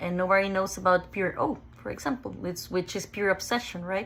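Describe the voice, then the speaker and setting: A woman speaks with a Mexican accent at a medium pitch. Her pace is fairly quick. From Mexico, Ensenada. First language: Spanish. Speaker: OCD sufferer sharing her story. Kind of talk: personal testimony. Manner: halting, with self-corrections.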